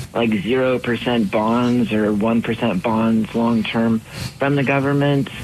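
A man speaks at a medium pitch with ordinary pitch variation. Noticeable background noise sits behind him. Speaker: radio call-in listener. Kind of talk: call-in question.

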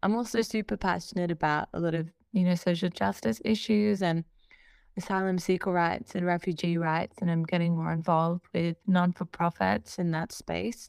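With an Australian accent, a woman talks at a moderate pace in a fairly low voice with ordinary pitch variation, the sound dry and close with no echo. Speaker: R&B singer-songwriter. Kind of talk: casual interview. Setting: video call.

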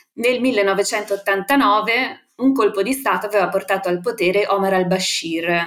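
A woman's plain, everyday voice, medium in pitch, with ordinary pitch variation. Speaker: international affairs analyst. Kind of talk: interview.

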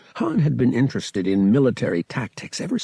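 Lively intonation marks this plain reading aloud.

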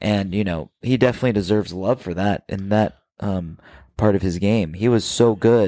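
An ordinary speaking voice, a man with an American accent at a fairly low pitch, moderate pace and fairly even intonation, very clean recording, silent background. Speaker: podcast co-host. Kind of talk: casual chat.

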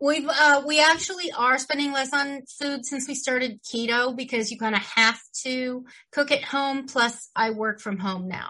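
In a raised, projected voice, a woman with a high pitch and a bright, sharp tone talks at a moderate pace with ordinary pitch variation. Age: 50s. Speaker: podcast co-host. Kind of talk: casual chat. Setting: home studio.

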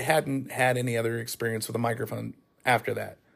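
Speech with an American accent. The intonation stays monotone and flat. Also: man. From Northern California. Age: 30s. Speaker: motorsports announcer. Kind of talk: casual solo monologue. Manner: conversational, with frequent fillers and restarts.

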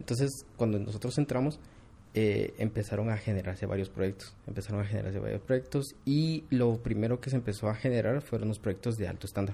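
A fairly low, somewhat breathy male voice with a dark, mellow tone, ordinary pitch variation and a fairly quick pace. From Guatemala, Quetzaltenango (Xela). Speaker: architectural visualization studio CEO. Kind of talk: interview.

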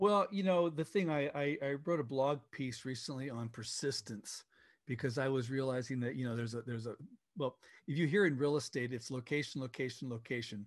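This is a normal speaking voice from a man, medium in pitch with ordinary pitch variation. He talks at a fairly quick pace against a quiet background. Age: 60s. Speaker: software company founder. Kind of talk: interview.

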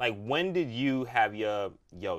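Speaking at a fairly slow pace, a man with an unremarkable speaking voice uses lively intonation. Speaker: wine consultant and podcast host. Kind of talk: casual chat interview.

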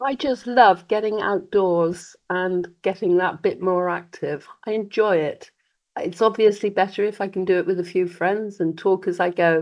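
A woman with a British accent talks at a moderate pace. Her medium pitch stays fairly even in intonation. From Britain. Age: 80s+. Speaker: charity head and triathlete. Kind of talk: casual interview.

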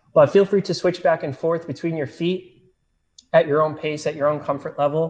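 An unremarkable speaking voice comes from a man talking at a moderate pace with a fairly high pitch. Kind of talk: guided barefoot tutorial. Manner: calm, instructive, conversational, filler-heavy; friendly, paced step-by-step demonstration.

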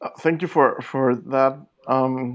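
This man speaks with a Spanish accent at a fairly high pitch. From Mexico. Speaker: literature scholar, author. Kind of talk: interview. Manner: halting, many repetitions.

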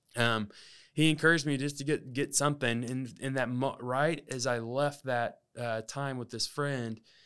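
A man speaks at a moderate pace with a medium pitch. The recording is very clean, with a silent background. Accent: Southern US. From Alabama. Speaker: podcast host. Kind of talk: casual monologue.

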